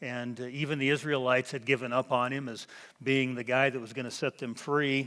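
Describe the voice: The clip consists of plain reading aloud.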